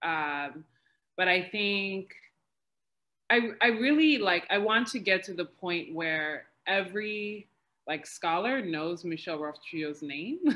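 Speaking very slowly, a woman uses lively intonation. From New York City. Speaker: PhD researcher, historian. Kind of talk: academic panel discussion. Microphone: video call.

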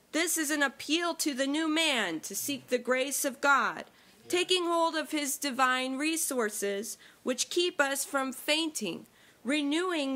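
A woman's raised, projected voice has a bright, sharp tone. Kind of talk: sermon.

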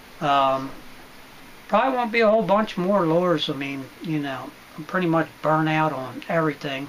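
Someone delivers the words at a moderate pace. Background noise is noticeable throughout. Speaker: fishing YouTuber. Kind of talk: casual unboxing talk. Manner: casual, rambling with fillers.

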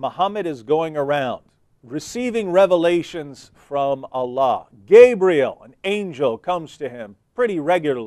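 A man with a dark, mellow tone speaks at a fairly slow pace over a quiet background. His pitch swings very widely and his loudness varies a lot. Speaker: TV show host. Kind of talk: religious commentary. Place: studio. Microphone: lapel.

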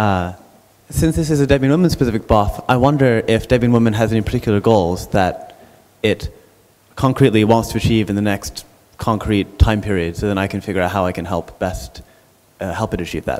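The pace of this man's speech is moderate. He uses lively intonation. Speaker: Debian project member; audience member. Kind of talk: group discussion. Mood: polite, helpful. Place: hall. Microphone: handheld.

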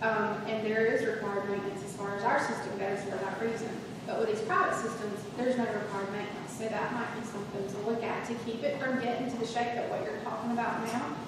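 Very fast talking amid noticeable background noise and strong room echo. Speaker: county staff member. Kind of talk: public meeting discussion. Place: hall. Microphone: camera far.

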